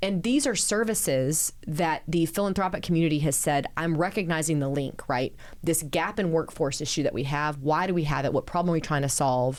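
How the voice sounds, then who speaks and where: A woman with a Texan accent speaks at a very deep, low pitch with ordinary pitch variation and very even loudness. She leaves hardly any pauses, and the recording is very clean with a silent background. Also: fairly quick pace. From Central Texas (small town). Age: 40s. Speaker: city mayor. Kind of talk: podcast interview.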